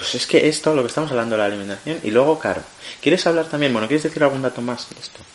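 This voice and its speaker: A man's fairly high voice at a very fast pace, with ordinary pitch variation, big swings in loudness and noticeable background noise. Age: 20s. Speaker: podcast co-host. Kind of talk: casual chat.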